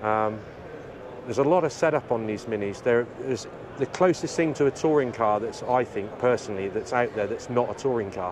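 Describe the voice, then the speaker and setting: Fairly quick speech with ordinary pitch variation, a dry sound with no echo and noticeable background noise. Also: man. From Cornwall, England. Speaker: racing driver and army veteran. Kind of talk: interview. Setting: motorsport trade show. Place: hall.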